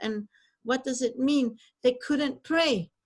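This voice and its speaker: A woman with a high voice speaks at a fairly slow pace, her pitch rising and falling in an ordinary way. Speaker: Torah teacher. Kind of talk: online lecture. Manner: halting.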